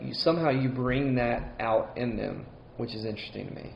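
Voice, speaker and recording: This man speaks with a Southern US accent. His pace is fairly quick. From Mississippi. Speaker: co-host. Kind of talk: casual chat.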